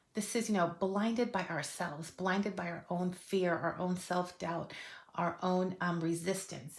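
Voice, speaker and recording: A woman with an unremarkable speaking voice, fairly low in pitch, with ordinary pitch variation and a moderate pace. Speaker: tarot reader. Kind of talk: tarot reading monologue. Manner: casual, many fillers.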